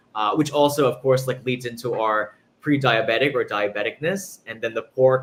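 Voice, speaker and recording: Speaking at a fairly quick pace, a man with a slight New York accent keeps a medium pitch and ordinary pitch variation. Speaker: pastry chef and chocolatier. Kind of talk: interview.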